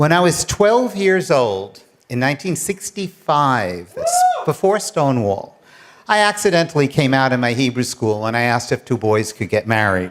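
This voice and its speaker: A man's fairly high voice with a New York accent, very wide pitch swings and a moderate pace, over noticeable background noise. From New York City, Queens. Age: 70s. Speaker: retired attorney and professor, storyteller. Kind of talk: personal storytelling on stage. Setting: stage with large audience.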